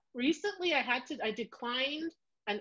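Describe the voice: A woman with a Canadian accent speaks slowly-ish, at a fairly slow pace, her tone fairly bright and her intonation lively.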